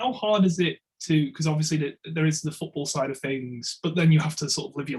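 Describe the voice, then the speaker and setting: A man's fairly high-pitched, somewhat breathy voice at a fairly quick pace. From England. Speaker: podcast interviewer. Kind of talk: interview.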